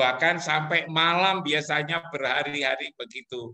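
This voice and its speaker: A man with a plain, everyday voice speaks fairly slowly at a fairly high pitch with fairly even intonation. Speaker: professor. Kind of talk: webinar talk.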